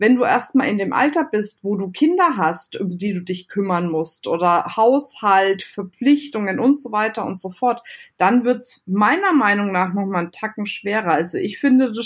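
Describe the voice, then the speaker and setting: A woman talks at a moderate pace and medium pitch, somewhat breathy, with lively intonation and big swings in loudness. There are hardly any pauses, and the recording is very clean with a silent background. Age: 30s. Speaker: entrepreneur and business coach. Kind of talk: interview.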